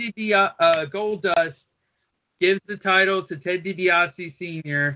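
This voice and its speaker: The man's voice sits high in pitch and shows ordinary pitch variation. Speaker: radio co-host. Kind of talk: radio show banter and ad reads. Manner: irreverent, profane, joking.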